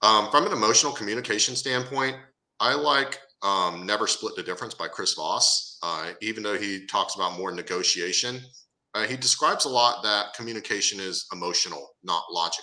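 Speaking at a fairly quick pace, a man with a medium-pitched, bright, sharp voice shows ordinary pitch variation. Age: 40s. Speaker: dating and life coach. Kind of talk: interview.

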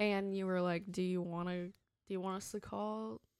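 With a normal speaking voice, a woman talks at medium pitch and a moderate pace using fairly even intonation. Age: 20s. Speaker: host's fiancée. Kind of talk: casual chat. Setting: on the road, traveling.

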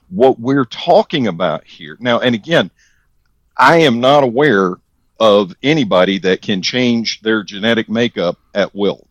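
A man with an American accent uses a normal speaking voice at medium pitch, talking fairly slowly with lively intonation in a dry, close sound with no echo. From US South. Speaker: podcast co-host. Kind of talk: casual chat.

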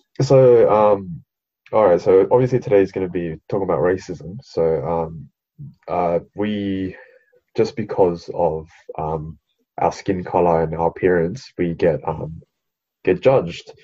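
A man with an Australian accent speaks at a fairly slow pace in a very deep, low pitch, with ordinary pitch variation and long, frequent pauses. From Sydney, Australia, Vietnamese family. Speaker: podcast co-host. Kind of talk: casual chat.

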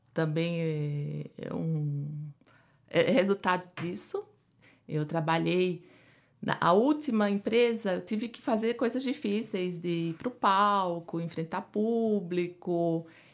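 Against a silent background in a very clean recording, a woman with a Pernambuco accent speaks at a very slow pace, fairly low in pitch with lively intonation. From Pernambuco, Brazil. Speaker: endocrinologist. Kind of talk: interview.

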